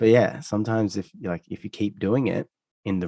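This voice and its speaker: A man with an Australian accent talks at a very fast pace with ordinary pitch variation. The sound is dry and close, with no echo. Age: 30s. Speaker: musician. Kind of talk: interview conversation. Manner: halting, many self-corrections.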